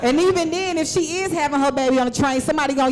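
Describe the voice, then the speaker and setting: A woman with an Atlanta accent speaks very fast at high pitch with ordinary pitch variation, over audible room echo and noticeable background noise. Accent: Southern US, Atlanta. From US South, Atlanta. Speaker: stand-up comedian. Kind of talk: stand-up. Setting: stage with audience.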